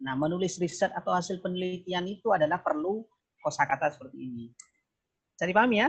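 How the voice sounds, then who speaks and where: In a Madurese accent, a man speaks with a high pitch at a fairly quick pace. His pitch swings very widely. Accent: Madurese accent in Indonesian. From Probolinggo, East Java, Indonesia (Madurese). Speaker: university lecturer, keynote speaker. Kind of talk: online academic discussion. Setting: video call.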